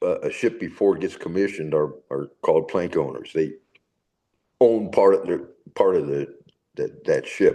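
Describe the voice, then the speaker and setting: Over music in the background, a man with an American accent speaks at a moderate pace. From San Francisco, California. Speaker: navy veteran. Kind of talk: casual interview. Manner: halting.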